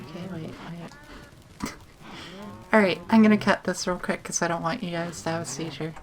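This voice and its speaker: Soft-spoken and fairly low in pitch, a woman talks at a fairly quick pace with long, frequent pauses, ordinary pitch variation and big swings in loudness. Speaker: gaming YouTuber. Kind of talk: let's play commentary. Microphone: sits far from the microphone.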